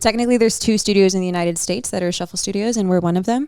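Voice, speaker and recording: A woman speaks at medium pitch with ordinary pitch variation and an animated tone. The recording is very clean, with a silent background. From South Texas. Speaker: shuffle dance studio owner and instructor. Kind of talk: podcast interview. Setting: in-person at a bathhouse venue. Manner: loud, confident.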